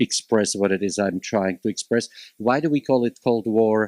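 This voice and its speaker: With a Slovak accent, a man speaks at a moderate pace in a fairly low pitch with ordinary pitch variation, the sound dry and close with no echo on a very clean recording with a silent background. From Slovakia (Bratislava). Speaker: college instructor, panelist. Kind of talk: panel discussion.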